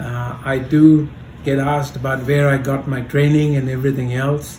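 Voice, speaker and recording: A man with a fairly high voice talks at a moderate pace in a flat monotone, with audible room echo and noticeable background noise. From Kenya and India (Mombasa, schooling in India). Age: 70s. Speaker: grandfather, oral history interviewee. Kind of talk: oral history interview. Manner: halting.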